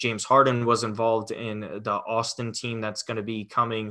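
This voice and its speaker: Set against a silent background in a very clean recording, a bright, sharp voice with a New York accent moves at a moderate pace in monotone, flat intonation. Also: man. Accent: New York area American. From Westchester, New York. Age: 20s. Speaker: sports fan guest. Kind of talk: casual sports chat.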